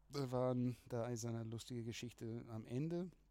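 A dark, mellow tone comes from this man. He talks at a medium pitch. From Australia. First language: English (speaking German). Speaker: music producer. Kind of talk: casual chat. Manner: halting.

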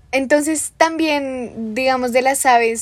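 Fairly even intonation marks this woman's speech. She talks at a fairly slow pace. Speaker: podcast host. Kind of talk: interview.

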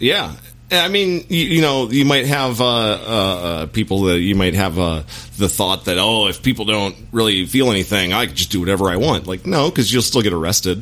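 Over noticeable background noise, a man with a fairly low voice talks at a moderate pace with lively intonation. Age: middle-aged. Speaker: actor and former military man. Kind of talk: casual chat.

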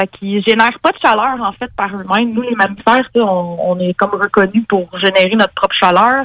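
A woman with a Quebec accent speaks at a moderate pace and medium pitch. Her intonation is fairly even, and the sound is dry and close with no echo. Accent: Québécois French. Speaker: biology columnist. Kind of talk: informal explainer; casual chat.

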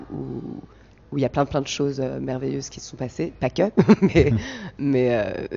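A woman with a very deep, low pitch and vocal fry at a fairly slow pace. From Paris region, France (Val d'Oise). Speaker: stand-up comedian. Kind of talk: interview. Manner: halting, many repetitions.

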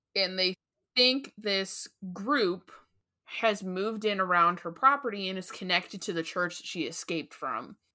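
Using a normal speaking voice, a woman talks at a moderate pace with big swings in loudness. Her pitch is medium, with ordinary pitch variation. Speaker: podcast host. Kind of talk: casual chat. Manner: casual, chatty.

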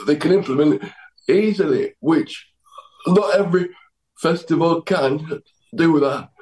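A man with a South Yorkshire accent. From Doncaster, England. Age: 30s. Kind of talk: casual interview chat. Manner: halting, repetitive phrasing.

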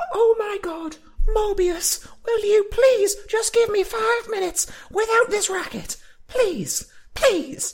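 Shouting in a put-on character voice, the speaker goes at a fairly slow pace with an extremely high pitch. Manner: yelling, pleading, exasperated.

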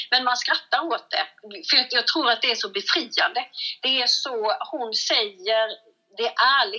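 A woman speaks at a fairly slow pace in a high pitch, her intonation lively. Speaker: comedian. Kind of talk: casual chat. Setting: phone call.

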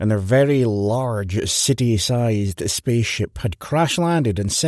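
Someone reads in an unforced reading voice, and the pitch shows ordinary variation.

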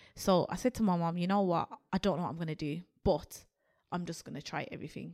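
In a Birmingham accent, a woman talks at a very fast pace, her fairly low voice showing ordinary pitch variation. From Birmingham, England. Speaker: creative agency co-founder. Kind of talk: interview. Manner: animated.

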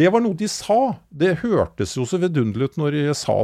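Very wide pitch swings at a moderate pace, dry and close with no echo, over a quiet background. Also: man. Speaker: podcast co-host. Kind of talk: casual chat.

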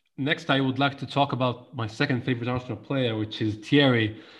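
The voice is somewhat breathy, in an Egyptian accent, with fairly even intonation. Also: man. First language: Egyptian Arabic. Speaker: podcast host. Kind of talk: interview.

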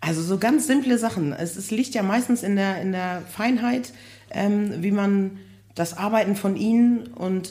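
A woman speaks at a moderate pace and a medium pitch, with ordinary pitch variation. Her tone is dark and mellow, and somewhat breathy. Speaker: construction project manager for care homes. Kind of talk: casual interview. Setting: live recording with audience.

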